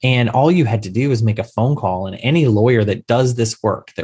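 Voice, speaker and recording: A man speaks with a medium pitch and a somewhat breathy voice. The recording is very clean, with a silent background. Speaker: insurance attorney. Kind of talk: casual interview chat. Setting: call.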